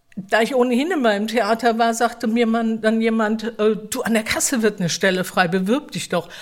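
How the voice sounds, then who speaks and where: A woman at a fairly high pitch and moderate pace, with ordinary pitch variation, hardly any pauses, and noticeable background noise. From Mannheim area, Germany. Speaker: theatre staff member. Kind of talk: casual interview.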